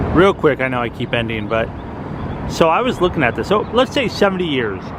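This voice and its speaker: A man speaks with very wide pitch swings. Background noise is noticeable. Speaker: travel vlogger. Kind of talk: walking vlog narration. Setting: outdoors.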